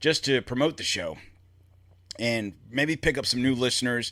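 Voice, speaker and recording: In a very clean recording with a silent background, a man of medium pitch speaks loudly and at a fairly slow pace with a bright, sharp tone. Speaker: podcast host. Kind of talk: solo podcast monologue.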